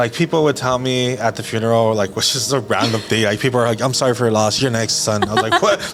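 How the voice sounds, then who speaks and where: A man of medium pitch talks at a very fast pace with very even loudness over noticeable background noise. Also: ordinary pitch variation, hardly any pauses. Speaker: pastor. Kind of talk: casual chat. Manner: soft-spoken.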